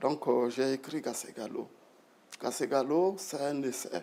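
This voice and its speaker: Speaking at a moderate pace, a man with a fairly high voice shows ordinary pitch variation. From Burkina Faso, Bobo-Dioulasso. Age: 60s. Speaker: retired broadcast executive and writer. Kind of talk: interview.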